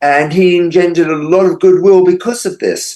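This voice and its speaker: A man with an English accent, high pitch, lively intonation and a moderate pace. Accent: English accent, noticeable. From England. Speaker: true crime author. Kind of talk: interview.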